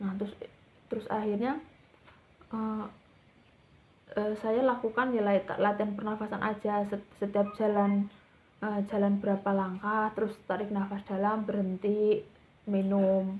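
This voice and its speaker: Long, frequent pauses break up a woman's fairly slow speech, delivered at medium pitch in monotone, flat intonation. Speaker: vlogger sharing thyroid treatment experience. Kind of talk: personal testimony vlog. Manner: halting, many fillers and restarts.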